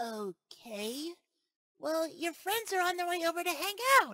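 In a put-on character voice, a man talks at a fairly slow pace with an extremely high pitch. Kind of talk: fan-made audio drama dub.

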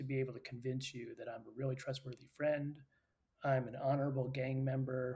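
His tone dark and mellow and somewhat breathy, a man talks at a fairly quick pace. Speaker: interview guest. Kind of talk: interview answer. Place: home room.

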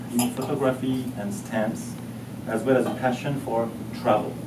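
Moderate-paced male speech with noticeable background noise. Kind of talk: formal ceremonial speech. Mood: warm, lightly humorous. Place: hall. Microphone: camera far.

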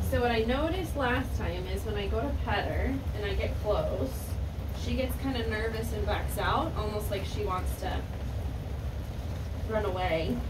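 Loud background noise fills the recording as a woman speaks with long, frequent pauses. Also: moderate pace. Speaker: horse trainer. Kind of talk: training commentary vlog. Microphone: camera far.

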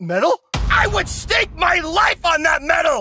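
Someone is shouting at an extremely high pitch, at a fairly slow pace. Music plays in the background. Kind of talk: comic overacting. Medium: fan dub. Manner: loud, heckling, melodramatically fierce.

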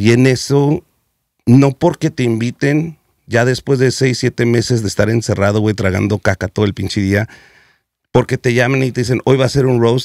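A man at a moderate pace, ordinary pitch variation, very even loudness, dry sound with no echo, quiet background. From US West Coast (South Central Los Angeles); Los Angeles. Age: 40s. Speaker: comedian; comedian guest. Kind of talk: casual chat. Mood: joking, candid, slangy. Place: studio. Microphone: studio mic.

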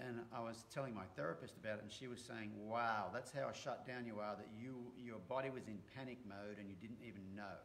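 A man talks at a fairly quick pace with fairly even intonation. Light background noise sits behind him. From Australia. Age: 50s. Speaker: horse trainer. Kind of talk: casual chat. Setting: live stream. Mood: reflective, open. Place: home room. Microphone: webcam.

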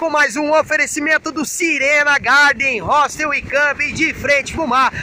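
A man uses a raised, projected voice with monotone, flat intonation at a moderate pace. The sound is dry with no echo, and light background noise is present. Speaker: surf report host. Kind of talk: surf report commentary. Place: beach. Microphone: phone near.

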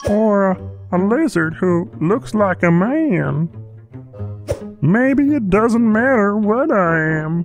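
A female-sounding voice puts on a character voice at a middle pitch, with faint music in the background. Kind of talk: webcomic dub. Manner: musing, hesitant.

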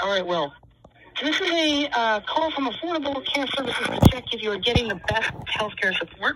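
A woman with a fairly high pitch talks at a fairly quick pace, her fairly bright tone carrying a slightly husky edge and lively intonation.

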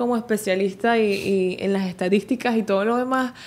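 In an ordinary speaking voice, a woman talks at a fairly quick pace. Her intonation is fairly even. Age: 20s. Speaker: social media dancer and content creator; content creator. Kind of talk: interview. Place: studio. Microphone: studio mic.

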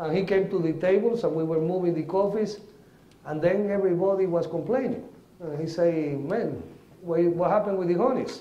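A man with a Spanish accent and high pitch, at a moderate pace with ordinary pitch variation, amid audible room echo. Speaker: coffee agronomist and farmer; conference presenter. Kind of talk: lecture. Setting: stage with audience. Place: hall.

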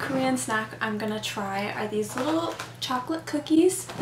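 An upbeat woman with an American accent and a fairly high pitch, at a moderate pace, amid audible room echo and light background noise. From United States. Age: 20s. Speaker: vlogger. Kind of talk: casual talk to camera. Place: home room.

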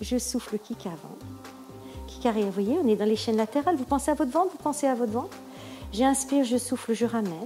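At a moderate pace a woman speaks while music plays faintly behind her. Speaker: pilates instructor. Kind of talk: exercise class instruction. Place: home room.

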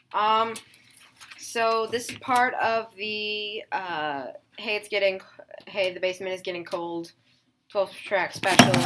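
Noticeable background noise sits behind the voice. Each word comes at a very slow pace. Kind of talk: casual vlog chat. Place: home room.

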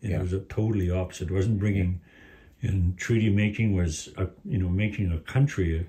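Against a quiet background, a man talks at a fairly quick pace in a very deep, low pitch. His somewhat breathy voice has a dark, mellow tone and fairly even intonation. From Beauval, Saskatchewan. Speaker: community news interviewer. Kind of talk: interview.

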